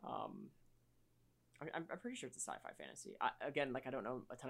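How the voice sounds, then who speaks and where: A man talks at a very fast pace. There is vocal fry in his voice. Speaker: podcast co-host. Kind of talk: casual chat.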